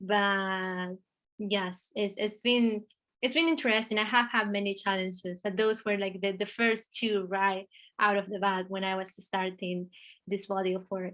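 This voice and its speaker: Speaking against a quiet background, a woman with an Argentine accent uses a medium-pitched, bright, sharp tone and fairly even intonation. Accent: Argentinian Spanish. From Argentina. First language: Spanish. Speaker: artist. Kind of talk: interview. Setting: video call. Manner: halting, many fillers.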